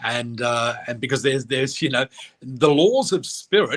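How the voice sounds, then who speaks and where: An animated man with a medium-pitched voice speaks with an Australian accent. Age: 60s. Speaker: psychic and spiritual teacher. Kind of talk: interview. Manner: animated storytelling.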